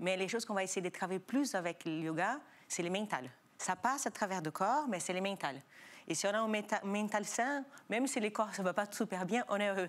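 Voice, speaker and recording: With a slight non-native accent, a woman talks at a fairly quick pace in a medium pitch, her intonation lively and her loudness very even. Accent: slight foreign. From Brazil. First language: Portuguese (speaking French). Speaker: yoga school founder. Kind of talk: TV talk show interview.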